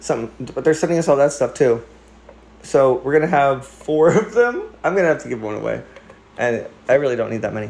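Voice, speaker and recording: Talking very fast yet with long, frequent pauses, a man with a fairly high pitch and an American accent uses lively intonation. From Philadelphia, US. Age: 30s. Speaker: cat livestreamer. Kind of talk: casual livestream chat. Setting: home livestream. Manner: animated.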